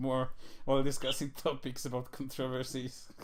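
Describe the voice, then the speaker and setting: Speaking with a strong non-native accent, a man talks at a moderate pace. His pitch is medium. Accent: thick non-native English. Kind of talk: casual podcast discussion.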